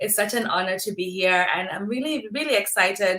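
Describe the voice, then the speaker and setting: In a Kenyan accent, a woman of medium pitch speaks at a fairly quick pace with a bright, sharp tone and ordinary pitch variation. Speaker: dermatologist. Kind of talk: casual chat. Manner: repeats words, halting.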